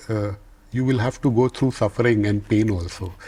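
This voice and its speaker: A man speaks at a moderate pace in a dark, mellow tone that is somewhat breathy, his intonation fairly even. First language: not English. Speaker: business leader. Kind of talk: interview. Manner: halting, with repeated words.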